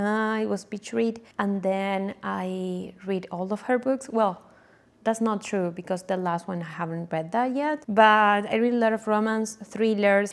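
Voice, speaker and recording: A woman with an Argentine accent at a fairly slow pace, on a very clean recording with a silent background. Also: medium pitch for a woman, ordinary pitch variation. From Argentina, Buenos Aires. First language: Spanish. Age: 20s. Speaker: book vlogger. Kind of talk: casual vlog intro. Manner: casual, with fillers and self-corrections.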